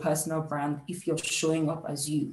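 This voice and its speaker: This is a woman speaking with a Nigerian accent. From Nigeria, Lagos. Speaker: career coach, HR professional. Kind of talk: workshop talk.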